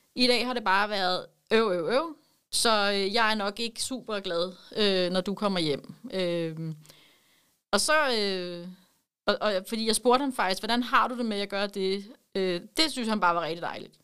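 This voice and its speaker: A woman speaks at a fairly slow pace in a medium pitch. Her tone is bright and sharp, with ordinary pitch variation. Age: 40s. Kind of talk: interview.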